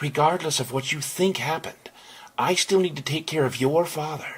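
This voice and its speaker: Here a man puts on a character voice with a fairly high pitch. He keeps a moderate pace and fairly even intonation. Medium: read story. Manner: sharp, defiant.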